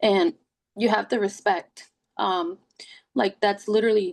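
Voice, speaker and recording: A woman speaks in a Puerto Rican accent at a moderate pace. Her fairly high voice has lively intonation. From Puerto Rico. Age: 30s. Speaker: wellness ambassador, first-time mother. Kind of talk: podcast interview, personal story. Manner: animated storytelling.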